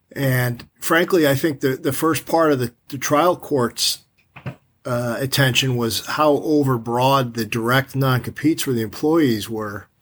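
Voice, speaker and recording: A plain, everyday voice from a man with an American accent, medium in pitch, fairly slow, with ordinary pitch variation. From New York. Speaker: appellate attorney. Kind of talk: interview.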